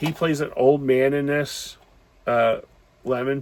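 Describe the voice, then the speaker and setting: Speaking at a fairly slow pace, a man holds a medium pitch with monotone, flat intonation. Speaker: movie reviewer. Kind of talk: casual movie review monologue. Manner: halting, many fillers.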